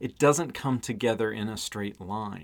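A man, in a plain, everyday voice, keeps to a moderate pace. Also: very clean recording, silent background. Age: 40s. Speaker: web content management expert and author. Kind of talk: casual interview chat. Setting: in person.

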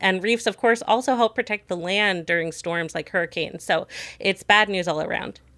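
On a very clean recording with a silent background and a dry, close sound with no echo, a woman uses a normal speaking voice at a medium pitch, with ordinary pitch variation and a moderate pace. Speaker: science journalist and podcast host. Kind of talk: news discussion.

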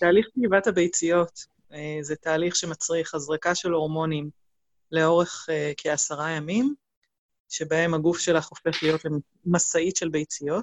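Delivered at a moderate pace, the speech has fairly even intonation and long, frequent pauses. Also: woman, fairly low pitch for a woman. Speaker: complementary therapist, single mother. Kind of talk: interview, personal testimony. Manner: hesitant, many fillers.

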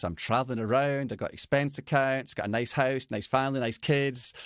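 In a Scottish accent, a man speaks at a medium pitch, the sound dry and close with no echo on a very clean recording with a silent background. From Scotland. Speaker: business coach for fathers. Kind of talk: interview.

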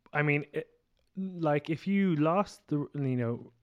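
A man uses an ordinary speaking voice with lively intonation at a moderate pace. The sound is dry and close, with no echo. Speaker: podcast host. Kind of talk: casual chat.

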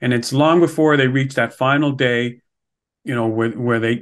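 A man with a Montreal accent speaks at a moderate pace. His pitch is medium and his intonation fairly even. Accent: Canadian (Montreal). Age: 60s. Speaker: podcast host, financial advisor. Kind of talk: interview.

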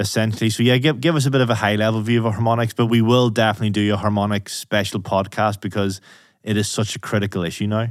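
In a very clean recording with a silent background, a man with a Northern Irish accent speaks very fast at a fairly low pitch, with fairly even intonation and very even loudness. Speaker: podcast host. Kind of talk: interview, technical discussion.

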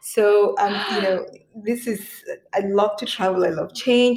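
At a moderate pace, a woman speaks in a fairly high pitch with an ordinary speaking voice. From Cameroon, moved to US at 16. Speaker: lawyer and podcast host. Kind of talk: interview. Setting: remote recording.

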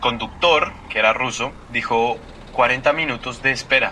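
With noticeable noise behind him, a man keeps a moderate pace and fairly even intonation. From Colombia. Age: 20s. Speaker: student. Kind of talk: storytelling interview.

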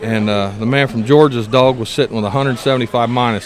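Amid noticeable background noise, a man with an American accent talks at a moderate pace and medium pitch, his intonation fairly even. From Indiana. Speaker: coon hunter. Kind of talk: casual interview. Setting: event venue.

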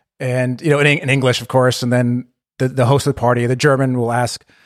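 A man talks very fast at a medium pitch. The recording is very clean, with a silent background. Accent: West Coast American. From California. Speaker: podcaster, American expat. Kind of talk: casual chat.

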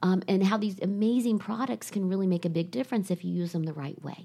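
A woman with an American accent, a dark, mellow tone, medium pitch, a somewhat breathy quality and a fairly quick pace. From Ohio. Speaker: salon company CEO. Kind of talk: interview.

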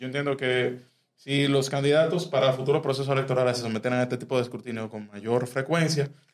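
A man speaks at a fairly quick pace. His pitch is medium, and his intonation is fairly even. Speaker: youth civic organization member. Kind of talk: interview. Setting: studio. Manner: halting, many fillers.

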